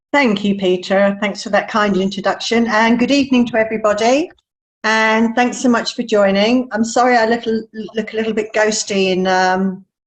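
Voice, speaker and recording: A woman with a British accent talks at a fairly high pitch and a moderate pace. Her intonation is fairly even and her loudness very even. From England. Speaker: wildlife researcher. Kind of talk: presentation.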